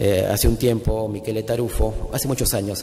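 Background noise is noticeable and room echo is audible. A man speaks at a moderate pace. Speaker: law professor. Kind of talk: conference talk.

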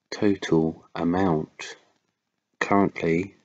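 Very deep and low in pitch, a man's voice carries a calm, soothing tone and a monotone, flat intonation. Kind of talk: ASMR-style read of comic sales figures. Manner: calm, smooth, soothing.

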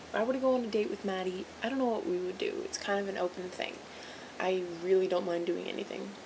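Through noticeable background noise, a woman talks at a very fast pace with ordinary pitch variation. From Vancouver, Canada. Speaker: vlogger entering a contest. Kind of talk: video dating entry, casual self-introduction. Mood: playful, slightly awkward. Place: home room. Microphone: webcam.

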